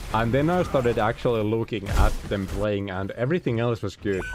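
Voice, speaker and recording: An animated tone with a non-native accent at a moderate pace, ordinary pitch variation and noticeable background noise. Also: man. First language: not English. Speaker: video game streamer. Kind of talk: live gameplay stream chat. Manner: casual, animated.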